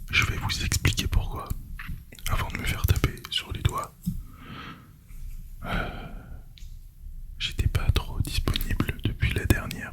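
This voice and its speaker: A man whispers at a very slow pace with long, frequent pauses over noticeable background noise. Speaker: ASMR creator. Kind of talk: casual ASMR talk to camera.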